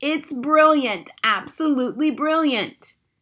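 A woman puts on a character voice with a high pitch and a bright, sharp tone. She speaks at a slow pace with lively intonation.

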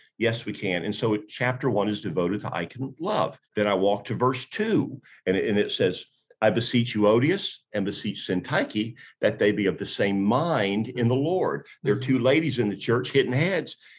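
Here is a man with a plain, everyday voice and a medium pitch. He keeps a moderate pace with lively intonation. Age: 60s. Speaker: pastor and author. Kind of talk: interview, preacherly talk.

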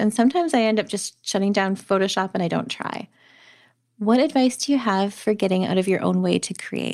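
A woman's normal speaking voice, medium in pitch, with ordinary pitch variation and a moderate pace, over a very clean recording with a silent background. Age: 40s. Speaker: podcast host and photographer. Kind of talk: interview; scripted narration.

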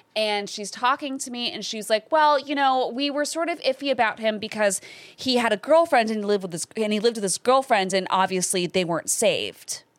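A woman with a Californian accent speaks at a fairly quick pace with hardly any pauses, a fairly high pitch, and lively intonation. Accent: Californian American. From Los Angeles. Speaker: actor and comedian. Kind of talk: casual chat. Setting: studio.

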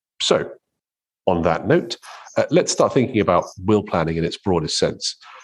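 A normal speaking voice with lively intonation at a fairly quick pace, over a quiet background. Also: man. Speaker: podcast host, lawyer. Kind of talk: casual professional discussion.

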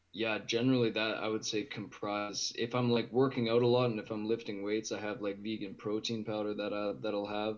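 A man with a western Canadian accent talks at a fairly quick pace with hardly any pauses, using fairly even intonation and a fairly low pitch. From Edmonton, Alberta, Canada. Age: 20s. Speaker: vegan lifestyle guest. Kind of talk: casual interview.

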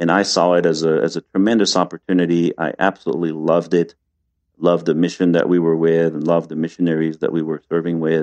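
A man's very deep, low voice in a French accent, monotone and flat, delivered at a very fast pace with a dry, close sound and no echo. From France, Paris. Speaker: retreat center founder. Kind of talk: interview. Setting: video call.

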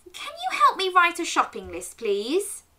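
A put-on character voice, bright and sharp in tone, with very wide pitch swings and a fairly slow pace. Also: woman, extremely high pitch for a woman.

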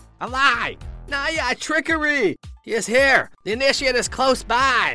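At a moderate pace, a man uses a put-on character voice pitched extremely high, with faint music in the background. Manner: shouting, accusing.

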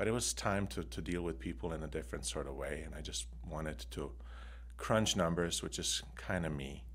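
A man with a non-native accent and a very deep, low pitch speaks at a fairly quick pace with lively intonation and vocal fry. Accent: foreign. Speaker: loan officer, former healthcare worker. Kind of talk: casual interview chat.

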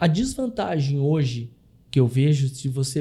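A man talks at a moderate pace. His voice has a dark, mellow tone. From Brazil, Curitiba. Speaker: consórcio investment specialist. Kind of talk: interview.

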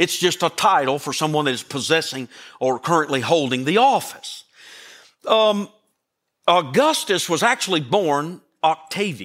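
Over a very clean recording with a silent background, a man with a Southern US accent speaks at a moderate pace and a fairly high pitch, his tone animated and warm, his intonation lively, with long, frequent pauses. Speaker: pastor. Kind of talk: Christmas sermon. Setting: church. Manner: animated, folksy preacher; warm, joking and emphatic, with audience call-and-response.

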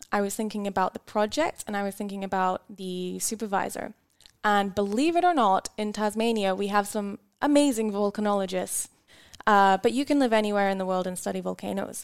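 In a dry, close sound with no echo, a woman with a Scottish accent speaks at a medium pitch with ordinary variation. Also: fairly quick pace. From Scotland. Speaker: volcanology PhD student. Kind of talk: interview.

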